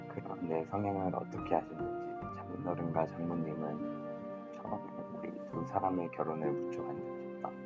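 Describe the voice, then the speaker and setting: Over music in the background, a man with a very deep, low pitch speaks at a fairly slow pace with lively intonation. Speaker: aspiring voice actor student. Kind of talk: audiobook reading for sleep.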